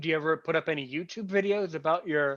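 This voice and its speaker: Over a quiet background, the voice has a bright, sharp tone and ordinary pitch variation. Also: man. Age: 30s. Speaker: interviewer, channel host. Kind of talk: interview conversation. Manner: halting, repetitive.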